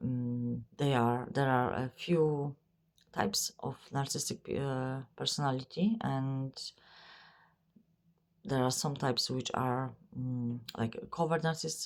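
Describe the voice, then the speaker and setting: A woman with a non-native accent, very deep, low pitch, a very slow pace and long, frequent pauses. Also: ordinary pitch variation. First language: not English. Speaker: psychic medium. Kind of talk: spiritual channeling monologue. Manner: halting, many fillers.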